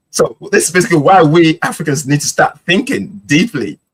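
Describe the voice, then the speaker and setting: Very fast speech with vocal fry, recorded dry and close with no echo. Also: man. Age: 50s. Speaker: podcast co-host. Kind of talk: podcast discussion. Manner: animated.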